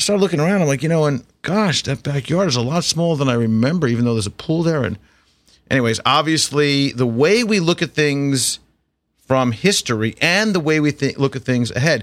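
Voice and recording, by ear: The tone is fairly bright, with lively intonation. The pace is fairly quick. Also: man, medium pitch for a man.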